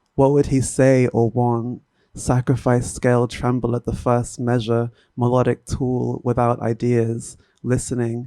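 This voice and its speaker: A soft-spoken man talks at a fairly slow pace and medium pitch, his tone dark and mellow. His delivery is a flat monotone, with a dry, close sound and no echo. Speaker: poet. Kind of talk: poetry reading.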